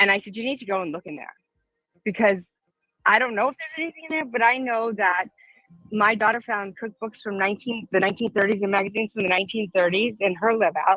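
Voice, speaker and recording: A woman with an American accent talks very fast at a medium pitch, with ordinary pitch variation. Music plays in the background, and the sound is dry and close with no echo. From US East Coast. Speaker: caller. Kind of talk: casual chat.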